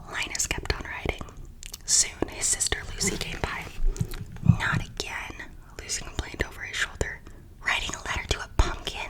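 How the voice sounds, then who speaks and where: A woman whispers at a moderate pace, with long, frequent pauses. Noticeable background noise is present. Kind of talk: children's book reading. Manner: whispered.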